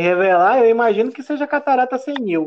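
The man's pitch swings very widely as he talks. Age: 30s. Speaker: podcast host. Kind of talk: casual chat.

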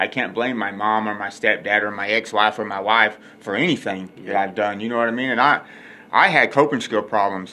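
A speaker with a Texan accent talks at a fairly quick pace in a bright, sharp tone, with fairly even intonation. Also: man, fairly low pitch for a man. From West Texas. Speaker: podcast host, recovering addict. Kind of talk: recovery testimony.

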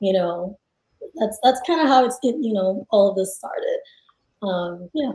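A woman with a fairly high pitch and a dark, mellow tone speaks at a moderate pace, somewhat breathy, with lively intonation and long, frequent pauses. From Nigeria. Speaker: psychiatrist and app founder. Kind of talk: interview.

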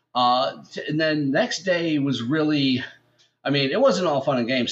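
An unremarkable speaking voice in an American accent, at a moderate pace. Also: man. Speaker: podcast host. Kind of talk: casual chat. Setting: late night, in person.

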